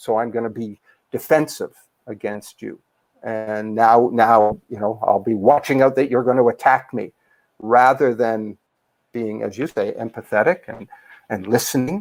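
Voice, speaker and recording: A man's intonation stays fairly even as he speaks at a moderate pace. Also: medium pitch for a man, big swings in loudness. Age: 60s. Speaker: life coach. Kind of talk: interview. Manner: hesitant with fillers.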